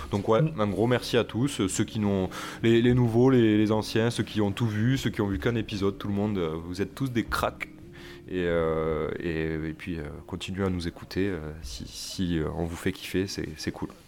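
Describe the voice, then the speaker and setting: This man has a fairly low pitch with ordinary pitch variation. He speaks at a fairly slow pace. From Toulouse, southern France. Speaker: podcast co-host. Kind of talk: casual chat.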